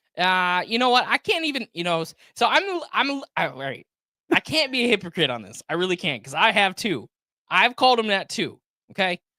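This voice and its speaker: A man with an American accent speaks at a fairly quick pace in a raised, projected voice, high in pitch, with very wide pitch swings, big swings in loudness and a bright, sharp, animated tone. The recording is very clean and dry, close with no echo and a silent background. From Flint, Michigan. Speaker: political podcast host. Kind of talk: casual political chat.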